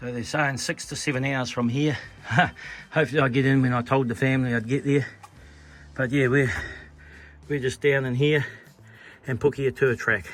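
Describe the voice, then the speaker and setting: Speaking at a fairly quick pace with long, frequent pauses, this voice has a New Zealand accent and fairly even intonation. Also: man, medium pitch for a man. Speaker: long-distance hiker vlogger. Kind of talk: casual vlog narration. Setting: outdoors on a hiking trail.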